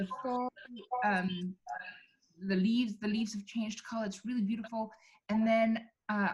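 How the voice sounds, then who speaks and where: Her somewhat breathy voice is fairly high in pitch for a woman, with ordinary pitch variation. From South Africa. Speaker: film director. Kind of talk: casual Q&A chat.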